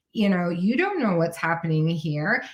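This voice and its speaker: The voice belongs to a woman. It comes across somewhat breathy. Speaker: neurodiversity consultant. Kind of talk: interview.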